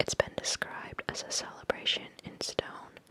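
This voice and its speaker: Whispered words come at a moderate pace while noticeable background noise continues. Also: woman. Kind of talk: whispered magazine reading, ASMR. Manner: whispered, soft.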